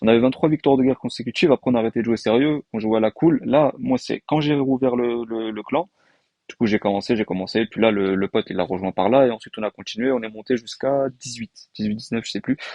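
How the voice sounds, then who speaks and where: Medium in pitch, a man speaks at a very fast pace. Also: ordinary pitch variation. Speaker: gaming YouTuber. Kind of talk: casual gameplay commentary. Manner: hesitant, many fillers.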